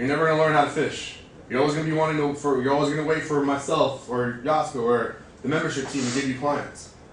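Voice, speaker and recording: Over noticeable background noise and audible room echo, a man with an American accent speaks at a very fast pace. His pitch is fairly high. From California, Bay Area. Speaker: fitness manager. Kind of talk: motivational staff presentation. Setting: staff meeting. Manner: animated.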